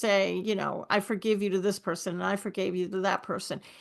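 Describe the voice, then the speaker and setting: Her pitch is medium for a woman, and her intonation is fairly even. She talks at a fairly quick pace against a quiet background. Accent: New York. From New York. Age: 60s. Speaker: forgiveness coach. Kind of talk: podcast interview.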